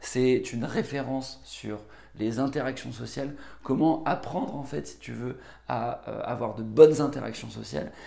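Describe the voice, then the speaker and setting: Room echo can be heard clearly. Delivery keeps to a moderate pace. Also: man. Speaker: book summary youtuber. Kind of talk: book review monologue. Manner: hesitant, many filler words.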